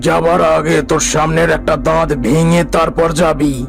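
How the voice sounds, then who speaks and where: Using a cartoonish character voice, a man speaks at a moderate pace with a fairly high pitch. Clear background noise runs behind him. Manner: stern, authoritative.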